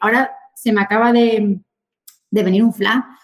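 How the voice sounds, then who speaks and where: Her pitch sits fairly high. The woman keeps a moderate pace as she talks. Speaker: real estate agent. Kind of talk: interview. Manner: animated.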